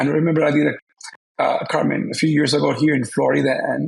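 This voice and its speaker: A man is speaking. He has a Spanish accent. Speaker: opera singer. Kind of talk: interview.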